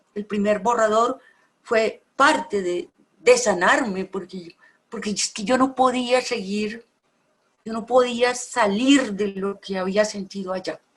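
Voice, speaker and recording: Very slow and somewhat breathy, a woman speaks with big swings in loudness. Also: fairly high pitch for a woman, ordinary pitch variation. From Colombia. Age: 60s. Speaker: poet and novelist. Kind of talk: conversation about poetry.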